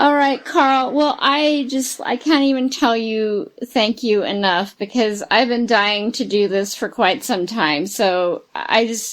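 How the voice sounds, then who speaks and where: Her pitch varies in an ordinary way as a woman talks fairly slowly. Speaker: podcast host and newsletter editor. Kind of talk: interview.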